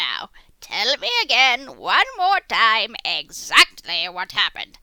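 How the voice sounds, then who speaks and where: A female-sounding put-on character voice whispers at a fairly slow pace. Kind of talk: audio drama dialogue.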